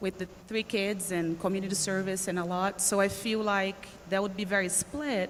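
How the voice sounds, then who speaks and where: A woman with a Portuguese accent speaks in a medium pitch. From Brazil. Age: 40s. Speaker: life coach. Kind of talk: workshop Q&A coaching session.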